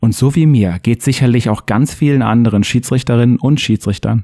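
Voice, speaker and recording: A man speaks at a medium pitch with lively intonation and a dark, mellow tone, recorded with a dry, close sound that has no echo. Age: 30s. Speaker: football referee and podcast host. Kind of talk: scripted narration.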